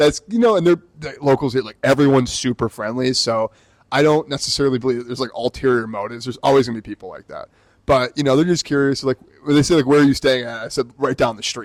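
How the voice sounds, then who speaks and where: Talking at a very fast pace with an American accent, a man uses a medium pitch, ordinary pitch variation and big swings in loudness, all in a dry, close sound with no echo. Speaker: podcast co-host. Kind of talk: casual chat.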